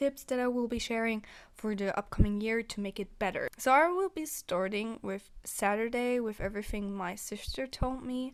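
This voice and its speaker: A woman with a non-native accent and fairly high pitch, at a moderate pace with hardly any pauses and ordinary pitch variation, on a very clean recording against a silent background. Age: 20s. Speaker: vlogger. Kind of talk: casual vlog review. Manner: hesitant with fillers.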